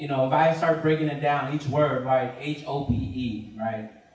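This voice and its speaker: Over noticeable background noise, a man with fairly high pitch talks at a moderate pace. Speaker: community organizer and doctoral student. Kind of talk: panel talk. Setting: live event with audience. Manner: casual, self-deprecating.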